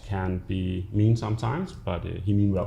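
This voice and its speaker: A man with a Danish accent speaks in a very deep, low pitch, his tone dark and mellow and somewhat breathy. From Denmark. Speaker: business executive. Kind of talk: interview.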